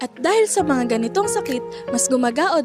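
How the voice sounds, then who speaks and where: A woman's high-pitched, upbeat voice at a moderate pace, with very wide pitch swings and music in the background. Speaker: student. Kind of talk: scripted health infomercial.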